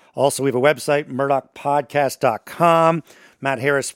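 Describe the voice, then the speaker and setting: Fairly high in pitch and animated in tone, a man speaks in a dry, close sound with no echo, in a very clean recording with a silent background. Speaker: radio host. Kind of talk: casual podcast discussion.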